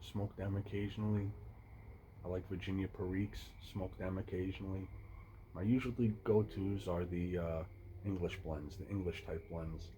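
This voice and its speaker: Delivered at a moderate pace, the voice is somewhat breathy with a dark, mellow tone and fairly even intonation. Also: man. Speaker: pipe smoking YouTuber. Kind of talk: casual monologue. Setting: outdoors. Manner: stuttering.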